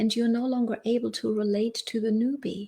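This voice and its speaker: On a very clean recording with a silent background, a woman speaks in a somewhat breathy voice with a German accent. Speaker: life and business coach. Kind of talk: live stream motivational talk. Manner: halting, with fillers and repeats.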